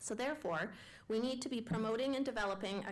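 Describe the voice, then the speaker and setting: There is audible room echo as a woman talks at a fairly quick pace with ordinary pitch variation. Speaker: education researcher. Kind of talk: public lecture.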